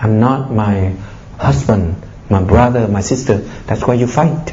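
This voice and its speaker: At a fairly slow pace, a man with a fairly low pitch uses lively intonation, amid noticeable background noise and audible room echo. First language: Vietnamese. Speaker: Buddhist monk giving a dharma talk. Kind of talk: dharma talk. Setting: public talk to an audience. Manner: animated, exhorting.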